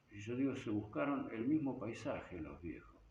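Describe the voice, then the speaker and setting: Audible room echo surrounds a man who talks at a moderate pace. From Argentina, Buenos Aires province (Hortensia, near Bolívar). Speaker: rock musician and teacher. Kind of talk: interview. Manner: halting, with repetitions.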